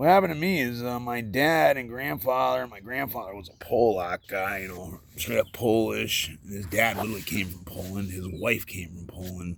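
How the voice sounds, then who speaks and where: A man speaks at a moderate pace with hardly any pauses, his fairly low pitch carrying lively intonation and big swings in loudness. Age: 40s. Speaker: vlogger. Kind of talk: personal vlog monologue. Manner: halting.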